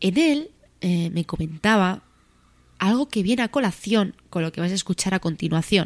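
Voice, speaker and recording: In a very clean recording with a silent background, a woman speaks in a plain, everyday voice. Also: medium pitch for a woman, moderate pace. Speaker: radio show host. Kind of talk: scripted narration.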